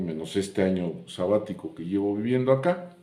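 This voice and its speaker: A man with a dark, mellow tone talks at a moderate pace with lively intonation. There is audible echo in the room. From Mexico, Puebla. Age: 70s. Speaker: YouTuber sharing memories. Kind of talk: casual monologue, reminiscing.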